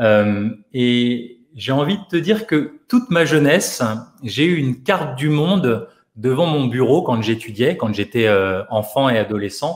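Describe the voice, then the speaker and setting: This man talks at a fairly slow pace with a medium pitch. His intonation is lively. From France, Paris area. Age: 40s. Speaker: physiotherapist and life coach, author. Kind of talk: radio interview. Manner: hesitant, many repetitions and fillers.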